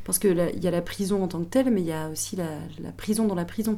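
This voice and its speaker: Audible room echo surrounds a woman whose fairly low voice has vocal fry and a dark, mellow tone. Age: 30s. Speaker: prison teacher. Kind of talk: testimony.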